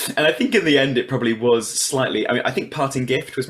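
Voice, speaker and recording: A man's medium-pitched voice at a very fast pace, with fairly even intonation and noticeable background noise. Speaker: reality game show contestant and writer. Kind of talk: interview.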